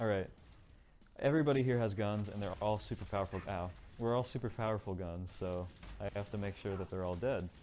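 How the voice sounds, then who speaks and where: With music in the background, a man speaks fairly quickly at a fairly low pitch with ordinary pitch variation. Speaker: speedrunner. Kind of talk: gameplay commentary. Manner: fast.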